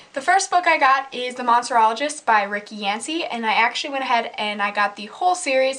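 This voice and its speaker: A woman with a Minnesotan accent, high-pitched and lively, talking at a very fast pace with hardly any pauses over noticeable background noise. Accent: Minnesotan accent, noticeable on 'about'. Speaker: book vlogger. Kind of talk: casual vlog talk. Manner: casual, filler-heavy.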